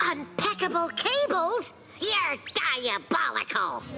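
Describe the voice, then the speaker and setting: A squeaky, cartoonish character voice at an extremely high pitch speaks at a fairly slow pace over clear background noise. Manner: cocky, wisecracking.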